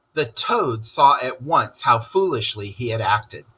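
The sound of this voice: Unforced reading voice, nothing more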